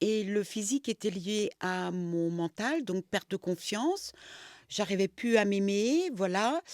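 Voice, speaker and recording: A very slow pace with ordinary pitch variation, in a dry, close sound with no echo and a very clean recording with a silent background. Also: woman. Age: 60s. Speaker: coaching client, shop owner. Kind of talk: testimony interview. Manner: hesitant, with many fillers.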